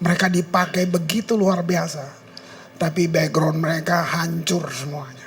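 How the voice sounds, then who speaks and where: With music playing in the background, a man speaks in a high pitch with fairly even intonation. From Ambon, Maluku, Indonesia. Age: 70s. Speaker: pastor. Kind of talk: sermon. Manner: conversational, informal.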